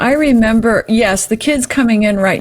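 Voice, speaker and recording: A woman keeps a moderate pace with ordinary pitch variation. Noticeable background noise can be heard behind her. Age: 70s. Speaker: clairvoyant and numerology practitioner. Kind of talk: casual chat. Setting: podcast interview.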